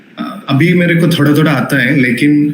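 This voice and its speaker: A man speaks with a Keralan accent at a fairly high pitch. Noticeable background noise runs under his voice. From Kerala, India. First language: Malayalam. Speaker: teacher. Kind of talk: lecture. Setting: live online class.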